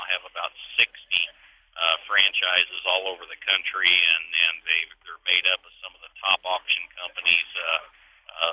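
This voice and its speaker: A man talks at a fairly quick pace. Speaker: auction company executive, interviewee. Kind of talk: radio interview answer.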